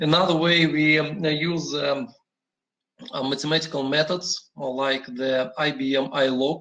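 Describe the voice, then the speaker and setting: A man speaks with a Russian accent at a fairly high pitch. His intonation stays fairly even. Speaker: industry energy manager. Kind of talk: panel presentation. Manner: halting, many fillers.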